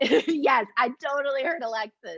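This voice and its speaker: A woman speaks loudly. Her pace is very slow. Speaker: program manager hosting professional development webinar. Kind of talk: webinar facilitation, casual chat.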